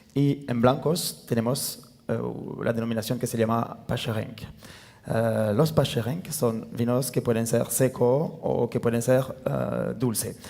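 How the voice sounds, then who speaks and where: With a French accent, a man talks at a medium pitch. His pitch varies in an ordinary way. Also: fairly slow pace. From France, near Tarbes. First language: French (speaking Spanish). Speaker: winemaker. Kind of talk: panel talk. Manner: halting, many fillers.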